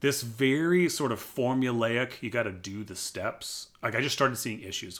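A man with an American accent and a normal speaking voice, medium in pitch, at a moderate pace with hardly any pauses, ordinary pitch variation, and a very clean recording over a silent background. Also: big swings in loudness. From US, military family moving around. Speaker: pastor and podcast host. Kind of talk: personal testimony interview.

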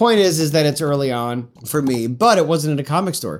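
A man with an American accent talks at a fairly quick pace, a fairly high pitch and lively intonation. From Central New York (Syracuse). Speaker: comic book writer. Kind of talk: interview. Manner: halting, frequent repetitions.

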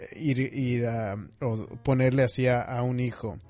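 The voice is a man's. Noticeable background noise sits under it. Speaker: psychotherapist and podcast host. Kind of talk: advice show monologue. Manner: slow; hesitant, many fillers.

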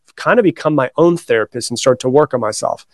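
A man with an American accent speaks at a very fast pace and a fairly high pitch. The sound is dry and close with no echo. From Florida. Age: 30s. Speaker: author and personal development coach. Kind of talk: interview.

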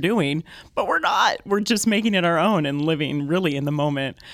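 An American accent from a female speaker. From US California. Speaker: opera singer. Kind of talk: casual interview chat. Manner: energetic, irrepressible.

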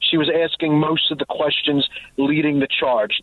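A fairly high-pitched man with an American accent, over noticeable background noise. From New Jersey. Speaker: gun rights writer. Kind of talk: radio interview.

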